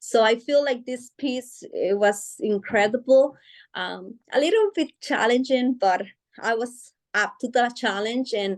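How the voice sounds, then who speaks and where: A woman speaks at a high pitch and a fairly slow pace. The background is quiet. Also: ordinary pitch variation. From Guatemala. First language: Spanish. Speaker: author. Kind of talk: interview. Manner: hesitant, many fillers.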